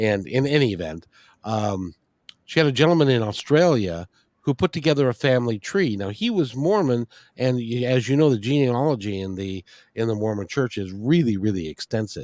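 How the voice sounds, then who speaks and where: At a fairly quick pace and medium pitch, a man speaks with lively intonation in an ordinary speaking voice, in a very clean recording with a silent background and dry, close sound with no echo. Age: 60s. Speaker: interview show host. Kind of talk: casual interview chat.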